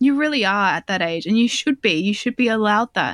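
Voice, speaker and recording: In a very clean recording with a silent background and a dry, close sound with no echo, a woman with an Australian accent speaks at a fairly high pitch with lively intonation. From Australia, southwest Sydney. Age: 30s. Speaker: journalist. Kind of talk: casual chat.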